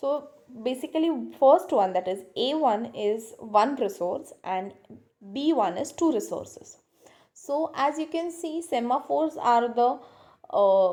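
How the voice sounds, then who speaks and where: Her voice high-pitched with a dark, mellow tone, a woman speaks at a fairly slow pace with very wide pitch swings. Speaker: lecturer. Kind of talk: lecture.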